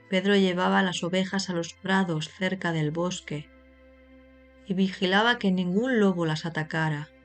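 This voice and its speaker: A woman speaks in a calm tone at a medium pitch, with fairly even intonation. Her pace is fairly slow, with long, frequent pauses, and music plays in the background. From Spain. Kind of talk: slow story reading for language learners. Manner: slow, calm, clear.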